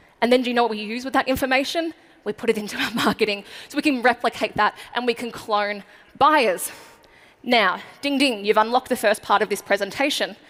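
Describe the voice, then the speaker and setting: With an Australian accent, a woman talks at a fairly quick pace in a fairly high voice, her pitch varying in an ordinary way. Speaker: marketing speaker. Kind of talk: keynote speech. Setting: stage with audience. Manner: fast.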